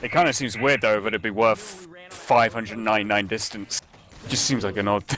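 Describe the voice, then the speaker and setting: Noticeable background noise sits behind a man's fairly low voice. He speaks at a moderate pace with ordinary pitch variation. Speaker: esports caster. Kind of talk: live commentary.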